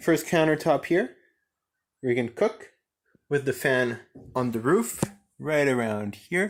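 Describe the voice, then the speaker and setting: A fairly high-pitched man with a French Canadian accent, lively intonation, a fairly slow pace and long, frequent pauses, on a very clean recording with a silent background. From French Canada. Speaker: vlogger. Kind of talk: casual walkthrough. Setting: inside a van.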